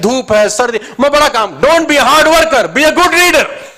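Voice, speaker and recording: With a raised, projected voice, a man talks at a moderate pace using very wide pitch swings. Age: 30s. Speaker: motivational speaker. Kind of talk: motivational seminar talk. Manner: animated.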